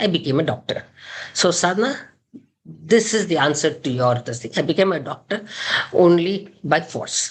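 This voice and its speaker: A woman with a Kannada accent speaks at a moderate pace, somewhat breathy and fairly low in pitch, her pitch swinging very widely. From India, Karnataka. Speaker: gynaecologist. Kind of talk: interview.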